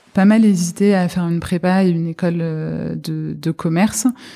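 A woman speaks with a fairly low pitch and fairly even intonation. There is noticeable background noise. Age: 40s. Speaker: private equity partner. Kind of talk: interview. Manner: halting, many repetitions and fillers.

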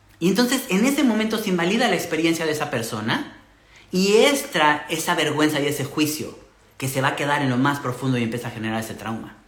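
Amid noticeable background noise and audible room echo, a man with a fairly high pitch speaks at a very fast pace with very wide pitch swings. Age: 40s. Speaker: podcast host and human design coach. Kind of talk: live stream monologue. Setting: live stream with viewer comments. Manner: hesitant, many repetitions and fillers.

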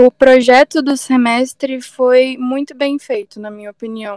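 Dry and close with no echo, a woman's high-pitched voice stays monotone and flat. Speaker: computer engineering student. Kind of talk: casual interview.

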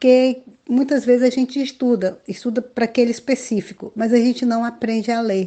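Her voice is high for a woman, with a dark, mellow tone, fairly even intonation and a moderate pace. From interior of Amazonas, Brazil (Alto Solimões). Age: 50s. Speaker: children's author and storyteller. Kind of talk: interview.

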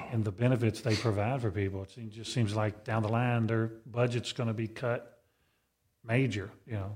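At a moderate pace, a man speaks in a somewhat breathy, medium-pitched voice with monotone, flat intonation. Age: 50s. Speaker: deacon, podcast co-host. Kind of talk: casual chat. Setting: studio.

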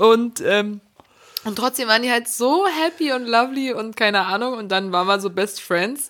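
In a normal speaking voice, a woman with a fairly high pitch and ordinary pitch variation speaks at a moderate pace. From Berlin, Germany. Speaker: podcast co-host. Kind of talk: casual chat.

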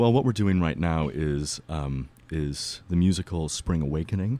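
A man's very deep, low voice in a dark, mellow tone, at a moderate pace, on a very clean recording with a silent background. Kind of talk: casual interview. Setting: radio studio.

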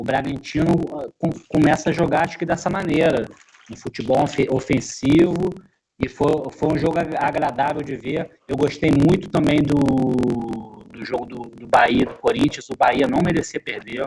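A man at a moderate pace, fairly high in pitch, with ordinary pitch variation, long, frequent pauses, and big swings in loudness. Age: 40s. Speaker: football pundit. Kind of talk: casual sports discussion.

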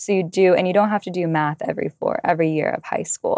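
An ordinary speaking voice belongs to a woman with fairly low pitch, fairly even intonation and an American accent. The sound is dry and close with no echo, on a very clean recording with a silent background. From Southern California. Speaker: college student podcast co-host. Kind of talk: casual discussion.

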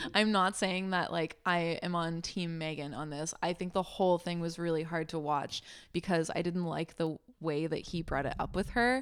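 The recording is very clean with a silent background, carrying a normal speaking voice at a moderate pace with fairly even intonation. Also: woman, fairly low pitch for a woman. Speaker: podcast co-host. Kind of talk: casual chat.

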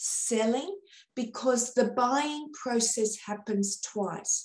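Speaking at a very slow pace, this voice has a dark, mellow tone and an Australian accent. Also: woman. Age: 50s. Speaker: sales trainer. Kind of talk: interview.

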